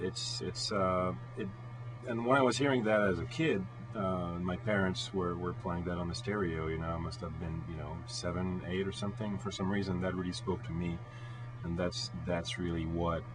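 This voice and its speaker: Over background music and audible room echo, a man with a very deep, low pitch speaks at a moderate pace with ordinary pitch variation. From France (Bordeaux). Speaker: rock guitarist. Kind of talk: radio interview. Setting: radio studio. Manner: hesitant, many fillers.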